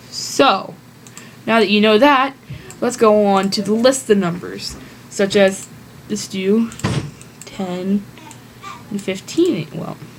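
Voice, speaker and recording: A woman at a very slow pace with long, frequent pauses and noticeable background noise. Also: medium pitch for a woman, ordinary pitch variation. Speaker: math tutorial maker. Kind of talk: tutorial. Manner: casual, self-correcting.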